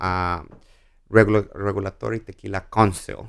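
A man with a Mexican accent speaks in a very clean recording with a silent background. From Mexico. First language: Spanish. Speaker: spirits brand ambassador. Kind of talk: casual interview.

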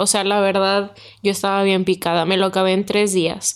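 This woman speaks with a Mexican accent at a medium pitch. Her pace is moderate. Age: 20s. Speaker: podcast co-host. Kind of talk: casual chat.

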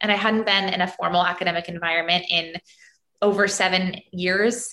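Here is an unremarkable speaking voice from a woman with an American accent. Her pitch is medium, with ordinary variation, and her pace is moderate. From US, Florida and New York City. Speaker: podcast co-host, former ballet dancer. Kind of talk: casual chat.

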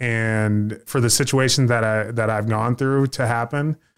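On a very clean recording with a silent background, a man with a plain, everyday voice talks at a moderate pace, medium in pitch and fairly even in intonation. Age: 20s. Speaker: podcast host. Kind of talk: casual chat.

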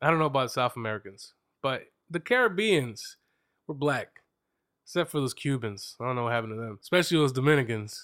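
Very fast and animated, a man speaks in a fairly high voice with lively intonation, broken by long, frequent pauses. The recording is very clean with a silent background. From Reading, Pennsylvania, US. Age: 30s. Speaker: podcast host. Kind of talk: casual chat, interview over wine. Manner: joking, teasing, animated.

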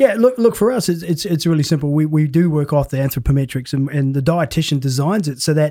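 Somewhat breathy and dark, mellow in tone, a man speaks with an Australian accent. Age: 50s. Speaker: performance coach. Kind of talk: casual chat.

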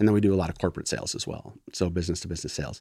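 This man talks very fast, his pitch fairly low and his intonation fairly even. The recording is very clean, with a silent background. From northern Michigan (Gaylord). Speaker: small business owner, former insurance executive. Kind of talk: interview conversation.

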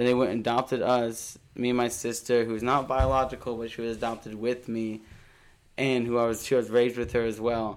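Speaking at a fairly quick pace, a man keeps his intonation monotone and flat. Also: medium pitch for a man. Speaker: podcast guest. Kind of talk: casual chat.

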